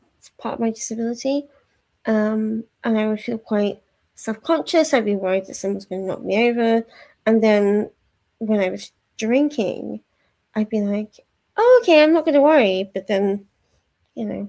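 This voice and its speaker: Speaking at a moderate pace in a Yorkshire accent, a woman with a fairly high pitch and a dark, mellow tone leaves long, frequent pauses. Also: ordinary pitch variation. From Yorkshire, northern England. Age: 30s. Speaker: book streamer. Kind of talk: casual chat. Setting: live stream at home. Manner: hesitant, lots of fillers.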